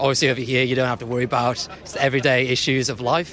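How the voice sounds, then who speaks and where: A man talking very fast at a medium pitch over noticeable background noise. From northeast England. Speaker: soldier. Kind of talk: casual interview.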